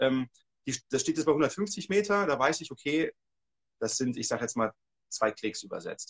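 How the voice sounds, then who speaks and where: A man's fairly high-pitched, somewhat breathy voice with lively intonation, moderate pace and long, frequent pauses, in a dry, close sound with no echo. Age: 40s. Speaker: hunting and shooting instructor. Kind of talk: casual livestream conversation. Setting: livestream.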